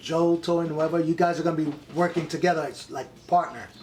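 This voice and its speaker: This man speaks with a New York accent. His voice is high in pitch. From New York, the Bronx. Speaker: actor and Marine veteran. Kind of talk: casual interview, storytelling. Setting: in person.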